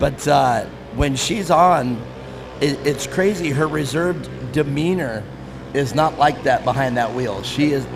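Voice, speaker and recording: A man's fairly high voice with ordinary pitch variation, audible room echo and background music. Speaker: race announcer. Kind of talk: live commentary. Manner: fast when excited; loud.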